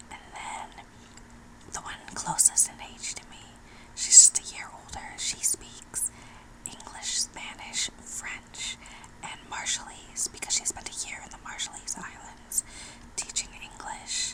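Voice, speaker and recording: Whispering in an American accent, the speaker goes at a fairly slow pace against noticeable background noise. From New Mexico, USA. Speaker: ASMR artist. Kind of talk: ASMR whisper ramble. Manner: whispered, close up.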